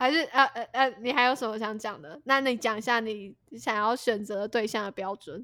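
On a very clean recording with a silent background, a woman with a plain, everyday voice and a fairly high pitch speaks at a moderate pace with ordinary pitch variation and hardly any pauses. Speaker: podcast co-host. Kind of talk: casual chat.

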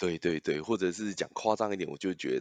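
The recording has a dry, close sound with no echo. In it, a man speaks fairly quickly. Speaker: product manager. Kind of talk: casual interview.

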